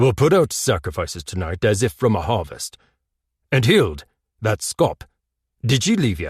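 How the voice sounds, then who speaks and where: A man in a put-on character voice, medium-pitched with very wide pitch swings, at a moderate pace with long, frequent pauses, in a dry, close sound with no echo and a quiet background. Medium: read story. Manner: firm, terse.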